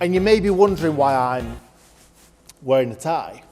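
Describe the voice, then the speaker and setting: With music in the background, a man talks in an upbeat tone at a fairly high pitch, his pitch swinging very widely. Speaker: auction company presenter. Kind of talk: upbeat promotional talk to camera.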